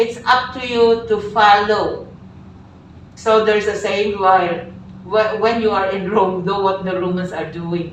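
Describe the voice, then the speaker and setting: Over noticeable background noise and audible room echo, a woman talks at a fairly slow pace. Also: medium pitch for a woman. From Philippines. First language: Filipino. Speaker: teacher. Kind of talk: lecture.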